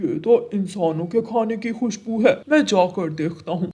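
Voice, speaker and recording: A man puts on a cartoonish character voice at a high pitch. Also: moderate pace. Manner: friendly, jokey.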